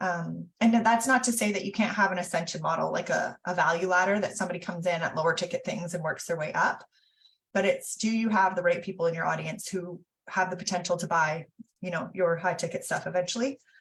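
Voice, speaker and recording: Speaking at a very fast pace, a woman uses a medium pitch and is somewhat breathy. Her intonation stays fairly even. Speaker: business coach. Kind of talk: online teaching session.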